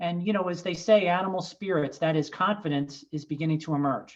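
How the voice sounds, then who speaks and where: The speaker is a woman with fairly even intonation. The background is quiet. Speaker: financial advisor. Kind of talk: webinar presentation. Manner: halting, with repeated words; fast.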